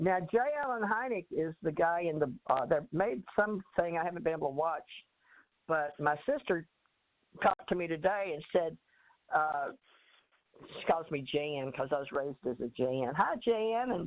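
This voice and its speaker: A Southern US accent with lively intonation, a moderate pace and long, frequent pauses. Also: woman, fairly low pitch for a woman. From Texas. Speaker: author and life coach. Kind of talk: interview.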